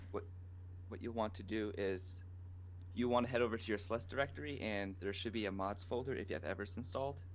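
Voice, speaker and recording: This man talks quietly and very fast, with a fairly low pitch and ordinary pitch variation. Some room echo can be heard. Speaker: game modder. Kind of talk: tutorial. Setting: live Twitch stream. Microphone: too quiet, volume turned up.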